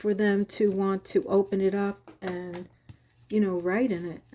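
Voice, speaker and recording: Very slow and dark, mellow in tone, a woman speaks with a Long Island accent. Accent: Long Island accent, still noticeable. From Long Island, New York. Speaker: crafting YouTuber. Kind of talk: crafting tutorial. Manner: casual, chatty.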